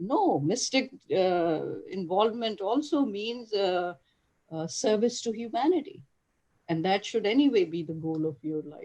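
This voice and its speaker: A woman with a dark, mellow tone and a medium pitch speaks at a fairly slow pace, with very wide pitch swings and big swings in loudness. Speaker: physician and author. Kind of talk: lecture.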